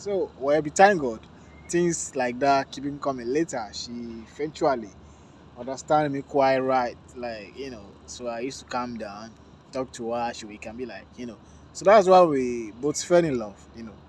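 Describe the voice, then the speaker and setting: A man with a Nigerian accent speaks with ordinary pitch variation. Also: medium pitch for a man, moderate pace, big swings in loudness. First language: Yoruba. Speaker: vlogger. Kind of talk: casual vlog talk to camera.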